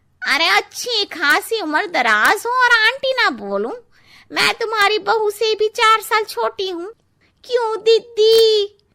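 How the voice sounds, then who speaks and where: A woman adopts a cartoonish character voice, extremely high in pitch, and speaks at a fairly slow pace. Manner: blunt, cheeky.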